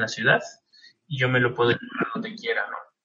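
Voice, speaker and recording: A man speaks with a Mexican accent. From Mexico. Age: 20s. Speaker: graduate student abroad. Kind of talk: interview. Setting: video call.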